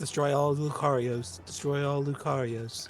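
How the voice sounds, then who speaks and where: Over clear background noise, a man puts on a robotic character voice, fairly high-pitched, at a moderate pace. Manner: robotic, monotone.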